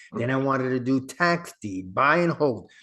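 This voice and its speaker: This is a normal speaking voice, a man at a medium pitch talking at a fairly slow pace. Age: 60s. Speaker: real estate investor and podcast host. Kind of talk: interview. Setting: podcast.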